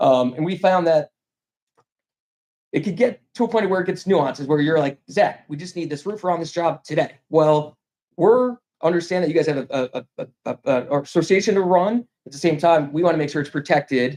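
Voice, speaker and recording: A man with an American accent talks at a fairly quick pace and a high pitch, recorded with a dry, close sound and no echo. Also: ordinary pitch variation. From New York, Albany. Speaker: insurance broker. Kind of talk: sales pitch. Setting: public meeting. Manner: fast.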